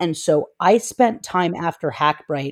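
A fairly low-pitched woman's voice with an American accent and lively intonation. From Northern California, Oakland. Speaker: software engineer. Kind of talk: interview.

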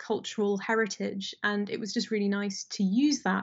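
With a British accent, a woman talks at a moderate pace in a fairly high, somewhat breathy voice. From Britain, of Indian descent. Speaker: fantasy author. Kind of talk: casual interview chat.

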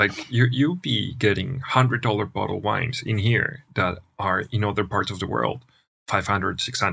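Bright and sharp in tone, a voice with a Spanish accent moves at a moderate pace with ordinary pitch variation. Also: man, fairly low pitch for a man. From Colombia, Manizales (coffee region). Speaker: wine merchant and entrepreneur. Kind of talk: casual chat. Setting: studio.

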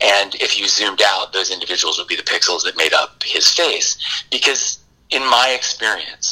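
The man keeps a moderate pace, with noticeable background noise audible throughout. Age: 40s. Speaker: documentary filmmaker and musician. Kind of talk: casual interview. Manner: halting, many fillers.

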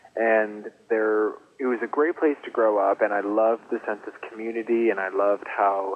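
A man with an American accent, fairly low in pitch, with fairly even intonation at a moderate pace amid noticeable background noise. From West Michigan (East Grand Rapids). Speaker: fashion designer and author. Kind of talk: interview. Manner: hesitant, many fillers.

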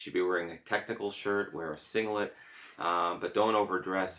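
Monotone and flat, a man talks at a fairly quick pace. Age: 50s. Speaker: amateur runner, running club member. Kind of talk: casual chat.

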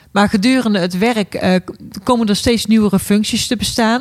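A woman with a Brabant accent, moderate pace and ordinary pitch variation. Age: 40s. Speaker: care worker. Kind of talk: casual chat.

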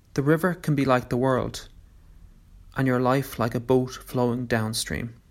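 A man speaks in an unremarkable speaking voice at medium pitch and a moderate pace, with fairly even intonation. The recording is very clean, with a silent background. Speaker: meditation guide. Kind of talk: guided meditation. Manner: gentle, calm.

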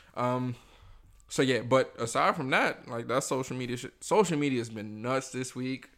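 Big swings in loudness mark this man's medium-pitched speech at a moderate pace with ordinary pitch variation, on a very clean recording with a silent background. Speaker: podcast host. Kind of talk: casual banter. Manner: casual, conversational.

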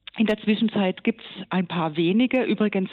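Pitch varies in an ordinary way while the talking proceeds at a moderate pace. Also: woman. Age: 50s. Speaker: gynecologist and professor. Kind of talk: interview. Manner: hesitant with many fillers.

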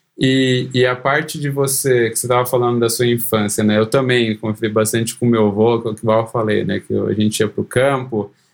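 Delivered at a fairly quick pace with hardly any pauses, an ordinary speaking voice keeps a fairly even intonation. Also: man, medium pitch for a man. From interior of São Paulo state, Brazil (Cosmópolis). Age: 30s. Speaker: software engineer. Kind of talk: casual interview.

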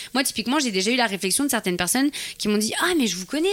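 Over noticeable background noise, a woman speaks at a very fast pace in an animated tone, her fairly high voice swinging very widely in pitch. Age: 20s. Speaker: fitness YouTuber. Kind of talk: interview.

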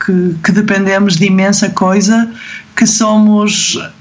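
Amid audible room echo and noticeable background noise, a woman with a fairly high pitch talks at a fairly slow pace. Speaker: medical resident and gymnastics choreographer. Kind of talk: casual interview.

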